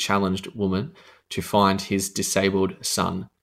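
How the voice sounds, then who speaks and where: A man speaks with an Australian accent at a fairly low pitch. The recording is very clean, with a silent background. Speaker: radio host. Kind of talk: radio DJ patter.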